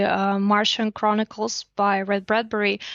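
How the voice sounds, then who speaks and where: Someone speaks at a fairly slow pace with a Russian accent. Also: woman. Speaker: investor relations specialist at a lending platform. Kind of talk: podcast interview.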